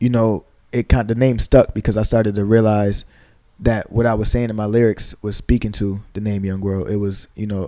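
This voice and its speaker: This man talks at a moderate pace in a dark, mellow tone with monotone, flat intonation. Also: fairly low pitch for a man. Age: 20s. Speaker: rapper, producer and engineer. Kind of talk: interview. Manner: soft-spoken.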